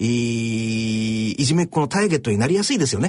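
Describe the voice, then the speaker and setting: A man speaks with very wide pitch swings and a somewhat breathy voice. The background is quiet. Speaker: radio host and social pathologist. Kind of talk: radio talk show commentary. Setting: studio.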